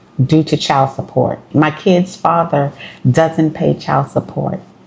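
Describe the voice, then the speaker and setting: Against noticeable background noise, a woman talks at a fairly slow pace. Her pitch is very deep and low, and her intonation fairly even. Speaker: vlogger, single mother. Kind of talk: casual vlog monologue.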